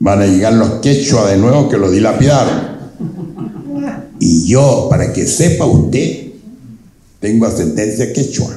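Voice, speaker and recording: A man at a medium pitch talks at a fairly slow pace with lively intonation and long, frequent pauses. Background noise is noticeable, and room echo is audible. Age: 80s+. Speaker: invited speaker, elder local historian. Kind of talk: public talk to an audience.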